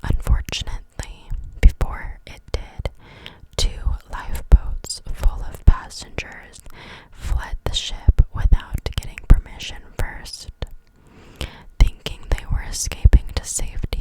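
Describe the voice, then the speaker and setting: Whispering very slowly, a woman leaves long, frequent pauses, her loudness swinging widely over noticeable background noise. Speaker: ASMR creator. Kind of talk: reading facts aloud from an article. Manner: whispered.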